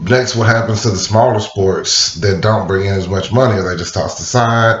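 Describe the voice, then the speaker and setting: Moderately paced speech from a man amid noticeable background noise. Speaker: student. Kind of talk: class speech. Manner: hesitant, with fillers.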